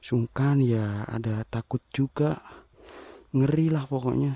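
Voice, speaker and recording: A man speaks quietly. His pitch sits in the middle range. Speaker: explorer vlogger of sacred graves. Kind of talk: walking vlog narration. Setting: outdoors in forest graveyard. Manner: quiet, lowered volume.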